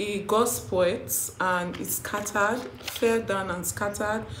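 A woman speaks at a fairly slow pace with ordinary pitch variation. Noticeable background noise runs underneath. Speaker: vlogger. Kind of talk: casual vlog chat. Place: home room.

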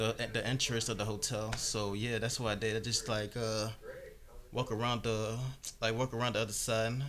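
Over light background noise, a man speaks at a moderate pace with very even loudness and monotone, flat intonation. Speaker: vlogger. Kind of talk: casual vlog chat. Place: home room. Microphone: phone near.

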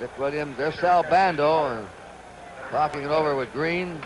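Noticeable background noise sits behind this recording. The speaker is a man with a fairly high pitch. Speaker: baseball play-by-play announcer. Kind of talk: 1970s network radio/TV baseball play-by-play broadcast.

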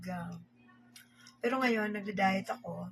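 A woman talks at a moderate pace in a medium pitch. Music plays in the background. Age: 50s. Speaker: vlogger. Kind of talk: casual vlog talk while eating. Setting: at home, filming herself at dinner.

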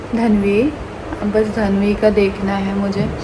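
A woman's monotone, flat delivery over noticeable background noise. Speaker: family vlogger. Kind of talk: casual vlog chat. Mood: worried, subdued. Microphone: phone near.

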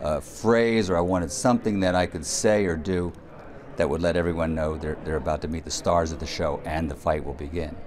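With noticeable background noise behind him, a man speaks at a fairly quick pace in a very deep, low pitch, with a relaxed tone and ordinary pitch variation. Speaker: ring announcer. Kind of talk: interview answer. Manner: conversational, relaxed. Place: hall. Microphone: handheld.

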